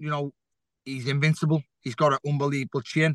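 A man with a Liverpool accent, in a dry, close sound with no echo. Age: 30s. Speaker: professional boxer. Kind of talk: interview.

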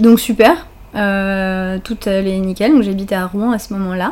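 A woman at medium pitch speaks in a dark, mellow tone with fairly even intonation. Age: 30s. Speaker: naturopath. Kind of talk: casual chat.

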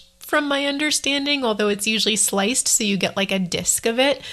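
This woman sounds enthusiastic, with ordinary pitch variation. There is noticeable background noise. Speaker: travel podcaster. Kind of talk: solo podcast monologue, casual. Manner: chatty, enthusiastic.

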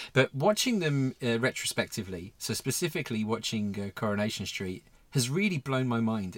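A man's pitch swings very widely as he speaks. The recording is very clean with a silent background, and the sound is dry and close, with no echo. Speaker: podcast host. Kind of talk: casual chat.

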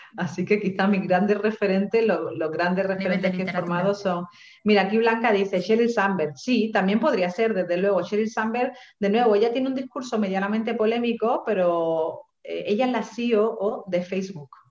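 Ordinary pitch variation and a moderate speed in a plain, everyday voice. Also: woman, medium pitch for a woman. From Seville, Andalusia, Spain. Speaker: writer and feminist coach. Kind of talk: online panel interview.

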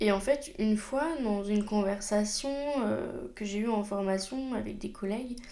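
A woman speaks at a very slow pace, her fairly high pitch paired with a dark, mellow tone and ordinary pitch variation. Audible room echo is present. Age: 20s. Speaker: podcast host and job integration counselor. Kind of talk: personal monologue.

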